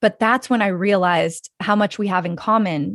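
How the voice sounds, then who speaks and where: This woman has an unremarkable speaking voice with an American accent, a medium pitch, and ordinary pitch variation. She talks at a moderate pace, with a dry, close sound with no echo and a quiet background. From Wyoming, US. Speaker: filmmaker and podcast host. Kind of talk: casual interview chat.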